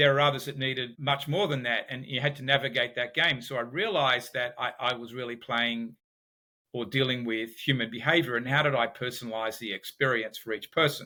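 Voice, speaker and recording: With an Australian accent, a man talks at a fairly quick pace with fairly even intonation. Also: medium pitch for a man. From Australia, Sydney. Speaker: business founder and behavioral economics expert. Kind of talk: podcast interview.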